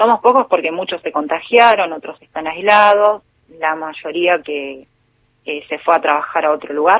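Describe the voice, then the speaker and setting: In an unremarkable speaking voice, a woman with a fairly low pitch talks at a moderate pace, with ordinary pitch variation and big swings in loudness. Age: 40s. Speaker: intensive care nurse. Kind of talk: interview.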